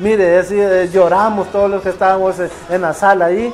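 This man talks at a moderate pace with a high pitch and fairly even intonation. Music plays in the background, and room echo is audible. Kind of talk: personal testimony. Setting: radio program.

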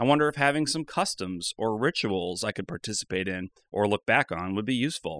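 A man's fairly low voice, an ordinary speaking voice, fairly quick with hardly any pauses, dry and close with no echo on a very clean recording with a silent background. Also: lively intonation. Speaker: podcast host. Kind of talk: casual comedy banter.

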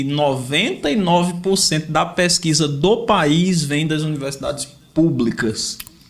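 With noticeable background noise, a man speaks at a fairly high pitch with ordinary pitch variation. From Paraíba, Brazil. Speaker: podcast host and Portuguese teacher. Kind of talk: casual interview chat. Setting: small studio.

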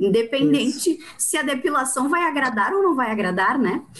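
A woman is speaking. Her pitch swings very widely. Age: 30s. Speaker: podcast host, poet. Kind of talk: casual chat.

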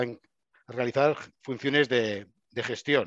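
The sound is dry and close, with no echo. A man at medium pitch speaks very slowly. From Spain, Burgos. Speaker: regional office director. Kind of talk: interview.

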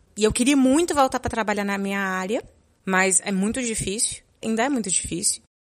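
This is a woman with a normal speaking voice and a fairly high pitch. Her pitch varies in an ordinary way on a very clean recording with a silent background. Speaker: podcaster and podcast editor. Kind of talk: casual interview chat.

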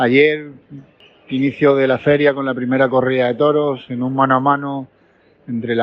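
This man's voice sits at a medium pitch. He speaks in a flat monotone. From Spain, Murcia. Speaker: matador acting as field reporter. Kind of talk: phone report.

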